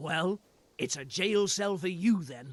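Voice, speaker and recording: A man's put-on character voice, raspy and high-pitched, with lively intonation and a fairly slow pace. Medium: video game. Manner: gruff, authoritative.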